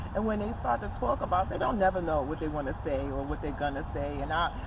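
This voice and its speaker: A woman is speaking with noticeable background noise. Room echo is audible. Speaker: talk show host. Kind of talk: casual interview chat. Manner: stutters, stumbles over words.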